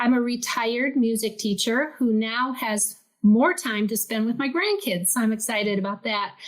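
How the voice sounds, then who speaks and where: A woman with an unremarkable speaking voice and fairly high pitch talks at a moderate pace with ordinary pitch variation. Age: 60s. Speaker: retired music teacher, pastor's wife. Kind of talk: personal testimony in interview.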